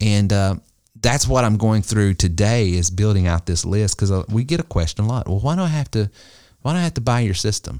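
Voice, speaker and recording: A man with an American accent speaks with a dark, mellow tone, lively intonation, and a fairly quick pace. The sound is dry and close with no echo, very even in loudness, on a very clean recording with a silent background. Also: fairly low pitch for a man. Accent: Southern US, somewhat toned down. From US South. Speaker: business coach and podcast host. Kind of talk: casual business podcast chat.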